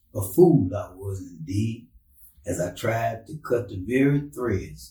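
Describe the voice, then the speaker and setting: A man with an American accent speaks at a very slow pace in a dark, mellow tone. His voice is somewhat breathy. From Texas, Brenham. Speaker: poet and author. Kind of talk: reading aloud poetry.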